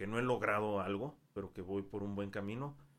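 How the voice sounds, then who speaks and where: A man's unremarkable speaking voice, fairly low in pitch with ordinary pitch variation, at a fairly slow pace. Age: 20s. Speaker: English teacher. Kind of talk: casual chat.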